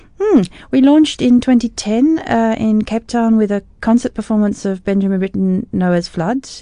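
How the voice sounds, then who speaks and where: Dark and mellow in tone, a woman with an Australian accent speaks at a moderate pace with ordinary pitch variation. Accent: Australian-tinged English. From South Africa, raised in Australia (Brisbane). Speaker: music critic and arts organization founder. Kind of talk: radio interview. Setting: studio. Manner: animated.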